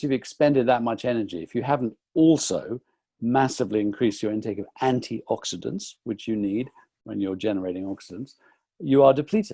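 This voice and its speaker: Against a quiet background, a man with an English accent and a dark, mellow tone talks at a very fast pace with lively intonation. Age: 60s. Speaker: nutritionist. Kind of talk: interview. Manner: halting.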